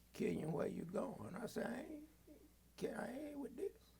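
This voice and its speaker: Audible room echo follows the man as he talks at a moderate pace. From Athens, Georgia, US South. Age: 80s+. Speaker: retired police officer and reverend. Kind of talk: oral history interview.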